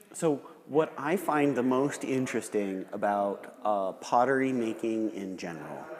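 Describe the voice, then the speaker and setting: Very slow, medium-pitched male speech with lively intonation over noticeable background noise. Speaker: gallery host interviewing a potter. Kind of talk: live demonstration commentary and interview. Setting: pottery gallery, live demonstration.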